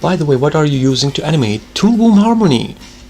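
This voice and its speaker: A man with a non-native accent, music in the background. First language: not English. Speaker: animator streamer. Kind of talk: casual live stream chat while drawing.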